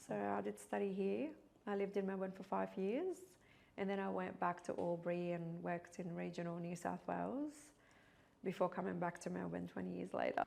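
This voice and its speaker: A woman with a Middle Eastern accent speaks at a fairly quick pace. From Iraq. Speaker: pharmacist. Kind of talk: interview.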